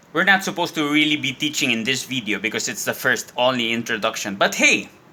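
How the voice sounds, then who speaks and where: A man is speaking. His pitch swings very widely. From Spain. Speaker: Spanish teacher and actor. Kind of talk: casual talk to camera.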